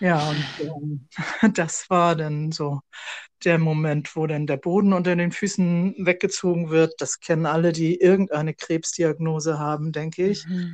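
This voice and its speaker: A normal speaking voice moves at a fairly slow pace with fairly even intonation against a quiet background. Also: woman, fairly low pitch for a woman. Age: 60s. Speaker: podcast co-host, sarcoma patient, civil servant. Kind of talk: casual conversation.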